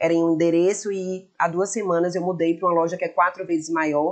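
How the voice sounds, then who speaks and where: A woman's fairly low voice with a monotone, flat intonation. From Bahia, Brazil (Feira de Santana). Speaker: shop owner and influencer. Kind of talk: podcast interview. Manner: talkative.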